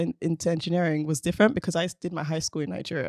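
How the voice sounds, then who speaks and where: The recording is very clean, with a silent background and a dry, close sound with no echo. In it, a woman speaks with a fairly low pitch. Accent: London. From South London, England. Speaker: robotics engineer. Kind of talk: casual chat. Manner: animated.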